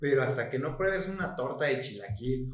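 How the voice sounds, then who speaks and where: Noticeable background noise and audible room echo surround a man whose pitch variation is ordinary. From Mexico, Chiapas. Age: 20s. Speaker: podcast co-host, student. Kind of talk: casual chat. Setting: late-night recording.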